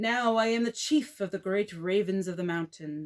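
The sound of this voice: An unforced reading voice, its pitch varying in an ordinary way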